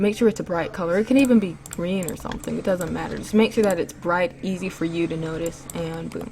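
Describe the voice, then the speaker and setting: Ordinary pitch variation with music in the background. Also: woman. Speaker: animation tutorial youtuber. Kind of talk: tutorial. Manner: casual.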